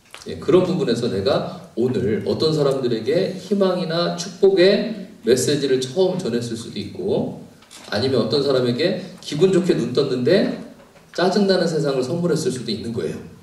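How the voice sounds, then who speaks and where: Over noticeable background noise and audible room echo, a man with a fairly high-pitched voice talks at a moderate pace in an animated tone with very wide pitch swings. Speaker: pastor and counseling professor. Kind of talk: lecture.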